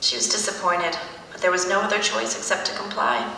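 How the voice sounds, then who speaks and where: Noticeable noise is present in the background. Over it, a woman speaks fairly quickly. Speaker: actress. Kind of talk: live book reading.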